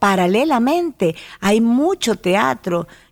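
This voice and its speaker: A woman's fairly high-pitched voice at a very slow pace. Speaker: actress and TV presenter. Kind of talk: interview. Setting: radio studio.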